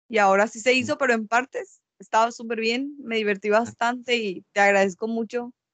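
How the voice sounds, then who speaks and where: Speaking at a fairly quick pace with hardly any pauses, a woman uses a plain, everyday voice and fairly even intonation. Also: fairly high pitch for a woman. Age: 20s. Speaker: university student. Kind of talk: casual chat. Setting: recorded at night.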